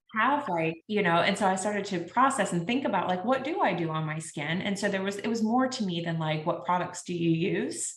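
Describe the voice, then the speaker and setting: A woman talks at a fairly quick pace with hardly any pauses. Her medium-pitched voice has lively intonation over noticeable background noise. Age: 30s. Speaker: podcast host. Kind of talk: casual interview chat.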